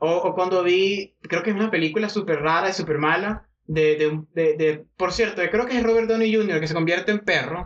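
A man speaks at a high pitch and moderate pace with very even loudness, ordinary pitch variation and hardly any pauses. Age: 30s. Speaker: podcast host. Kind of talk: casual chat.

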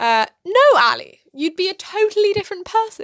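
A woman with a British accent speaks at a moderate pace in a bright, sharp tone. Her pitch swings very widely. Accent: quite British. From London, England. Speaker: podcast co-host. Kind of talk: casual chat.

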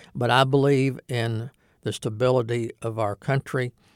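The voice is monotone and flat, with a dry, close sound and no echo. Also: man, very clean recording, silent background. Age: 60s. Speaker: former youth civics program director. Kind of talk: casual interview.

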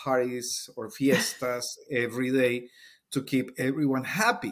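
In a Spanish accent, a man speaks at a very slow pace in a very clean recording with a silent background. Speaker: Spanish teacher. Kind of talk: casual interview chat.

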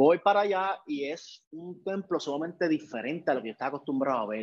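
A man with a Puerto Rican accent speaks at a very fast pace. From Puerto Rico. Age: 30s. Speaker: photographer and video director. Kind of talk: interview conversation.

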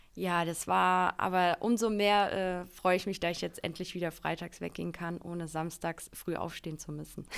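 A woman speaks at a fairly low pitch in a monotone, flat intonation with hardly any pauses. The recording is very clean, with a silent background. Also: moderate pace. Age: 20s. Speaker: marketing employee. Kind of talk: casual interview.

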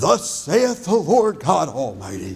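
The speaker uses a put-on character voice. Delivery comes at a fairly slow pace. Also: man. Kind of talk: formal, scriptural. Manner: booming, solemn.

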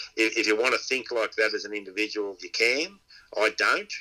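This man talks with an Australian accent. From Inverell, New South Wales, Australia. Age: 60s. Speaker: dog trainer and pig hunter. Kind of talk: casual interview chat.

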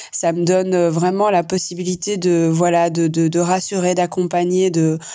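Woman's voice, fairly low in pitch, dark and mellow in tone, at a fairly slow pace. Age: 40s. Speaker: psychologist. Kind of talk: voice message.

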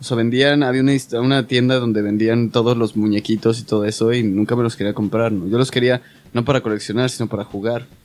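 A man speaks at a very fast pace. His medium-pitched voice stays monotone and flat. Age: 20s. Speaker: special effects makeup artist. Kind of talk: casual chat.

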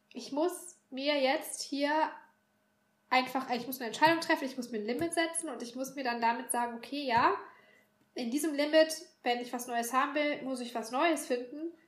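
Her voice high and her intonation fairly even, a woman speaks at a moderate pace with big swings in loudness and audible room echo. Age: 30s. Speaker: bookshop worker. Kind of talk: casual chat.

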